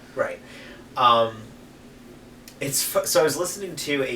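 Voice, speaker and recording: Over noticeable background noise and audible room echo, a man with an American accent speaks at a moderate pace with ordinary pitch variation. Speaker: beer tasting video host. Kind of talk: casual chat.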